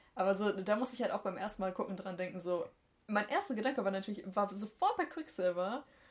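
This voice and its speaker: Somewhat breathy, a woman talks at a medium pitch and a fairly quick pace. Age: 20s. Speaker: podcast co-host. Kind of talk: casual chat.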